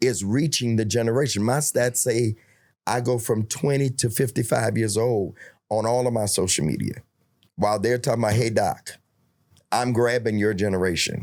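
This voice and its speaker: A man speaks at medium pitch and a moderate pace with ordinary pitch variation. His loudness stays very even in a very clean recording with a silent background. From New York. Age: 60s. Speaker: bishop and preacher. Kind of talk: casual interview.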